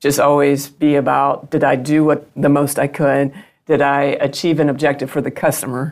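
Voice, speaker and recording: A woman speaks with a Southern US accent at a very deep, low pitch. Her intonation is monotone and flat, and her pace is moderate. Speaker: business executive guest. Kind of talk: interview.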